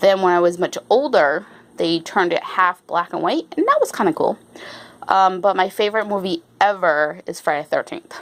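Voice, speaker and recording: A woman talks at a moderate pace in an American accent. Her pitch sits in the medium range. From Rhode Island, US. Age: 40s. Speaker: YouTuber. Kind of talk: casual Q&A chat to camera. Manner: hesitant, many fillers; walking around while talking.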